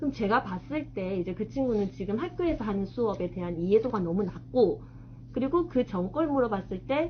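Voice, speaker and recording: At a moderate pace, a woman speaks in a strong Gyeongsang accent. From South Gyeongsang, Korea (Changwon, Masan). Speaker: middle school math teacher and author. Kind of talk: author talk to an audience. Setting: bookstore event with live audience.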